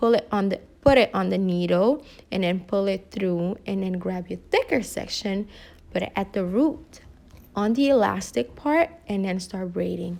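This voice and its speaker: A woman with a non-native accent speaks at a moderate pace and medium pitch, her intonation lively. The recording is very clean, with a silent background. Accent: foreign. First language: not English. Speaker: hair tutorial vlogger. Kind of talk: tutorial. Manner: casual, hesitant.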